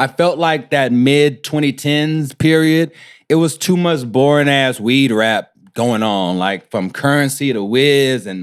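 A man with a plain, everyday voice and an American accent speaks at medium pitch and a fairly slow pace with ordinary pitch variation, on a very clean recording with a silent background. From Houston, Texas (Third Ward). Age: 30s. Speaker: rapper. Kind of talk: casual interview chat.

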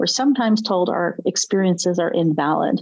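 A woman talks in an ordinary speaking voice. Her pace is fairly quick. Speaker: podcast host and self-defense expert. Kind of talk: interview conversation.

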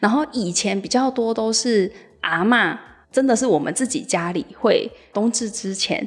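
Using a plain, everyday voice, a woman talks fairly slowly at a fairly high pitch with ordinary pitch variation. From Penghu, Taiwan. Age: young. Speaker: local resident. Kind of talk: interview.

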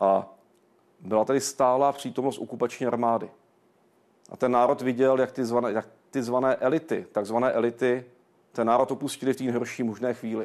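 A normal speaking voice moves at a fairly quick pace. Its intonation stays fairly even. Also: man, medium pitch for a man. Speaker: director of a historical research institute. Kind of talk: TV interview. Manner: formal.

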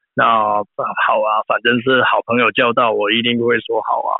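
A man speaks with a Cantonese accent. His pace is moderate. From Hong Kong. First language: Cantonese (speaking Chinese). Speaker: film art director. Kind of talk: interview. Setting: remote phone call.

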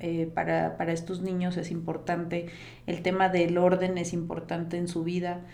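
A woman speaks at a medium pitch with audible room echo. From Costa Rica. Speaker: organization and productivity coach. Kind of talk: interview conversation.

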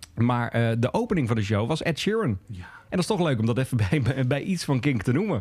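A man speaks at medium pitch with a somewhat breathy voice and very wide pitch swings. He moves at a fairly quick pace with hardly any pauses. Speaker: podcast host. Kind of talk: casual chat. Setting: pub.

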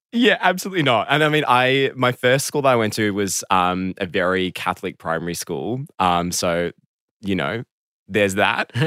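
On a very clean recording with a silent background, a man with an Australian accent speaks at a fairly low pitch and a moderate pace. The sound is dry and close with no echo, and his tone is bright and sharp. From Melbourne, Australia. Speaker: guest. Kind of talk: casual interview chat. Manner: hesitant, filler-heavy.

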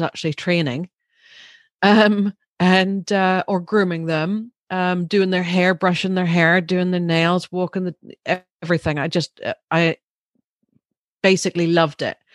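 A woman with a Northern Irish accent, fairly low in pitch and fairly slow in pace, in a dry, close sound with no echo and a quiet background. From Northern Ireland; Larne, East Antrim. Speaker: pet wellness business owner. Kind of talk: casual interview chat. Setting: video call. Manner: animated, laughs often.

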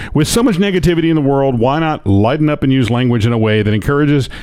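Here a man talks at a very fast pace. His fairly high voice has lively intonation. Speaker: podcast co-host. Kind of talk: casual chat.

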